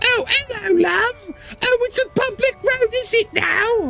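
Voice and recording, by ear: A squeaky, put-on character voice talks at a fairly slow pace. Background noise is clearly heard.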